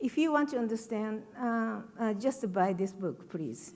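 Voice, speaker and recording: A woman talks with lively intonation at a fairly high pitch. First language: Japanese. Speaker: writer. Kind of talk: panel talk.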